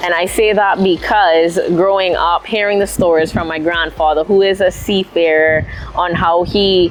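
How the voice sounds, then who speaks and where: At a moderate pace, a woman with a fairly low pitch speaks with fairly even intonation amid noticeable background noise. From Cayman Islands, Prospect, George Town. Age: 20s. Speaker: airline pilot. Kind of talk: interview monologue.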